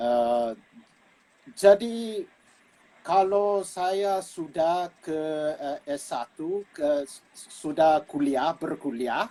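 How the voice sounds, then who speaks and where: A man's high-pitched, dark, mellow voice with lively intonation, big swings in loudness and a very slow pace. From United States, Filipino immigrant family. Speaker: linguist and gamelan musician. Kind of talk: casual interview. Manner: halting, many fillers.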